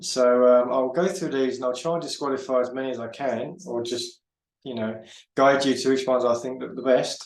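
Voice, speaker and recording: A man at medium pitch and a fairly quick pace, with ordinary pitch variation and audible room echo. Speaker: forex trader and market analyst. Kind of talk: trading tutorial. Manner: halting, many fillers and repeats.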